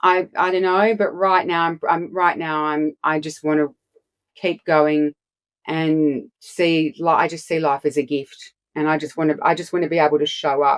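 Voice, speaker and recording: A woman in an Australian accent, her pitch very deep and low, her intonation fairly even. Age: 50s. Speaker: clinical nutritionist. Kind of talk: casual chat. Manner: fast, halting with many restarts.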